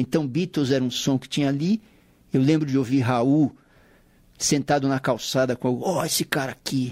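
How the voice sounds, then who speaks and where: An ordinary speaking voice at a moderate pace, recorded dry and close with no echo. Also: man. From São Paulo city, Brazil. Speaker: musician and saxophonist, radio show presenter. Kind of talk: casual radio interview. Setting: radio studio.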